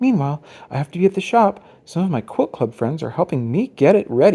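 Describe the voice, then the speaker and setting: The speaker uses a put-on character voice at a middle pitch. The pace is very fast. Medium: read story.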